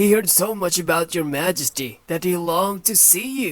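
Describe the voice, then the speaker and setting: A put-on character voice speaks at a moderate pace with a middle pitch. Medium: read story. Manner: deferential, polite.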